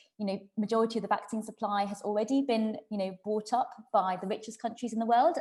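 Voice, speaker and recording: Speaking at a very fast pace, a woman sounds somewhat breathy and keeps her intonation fairly even. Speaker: doctor. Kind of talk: public meeting talk.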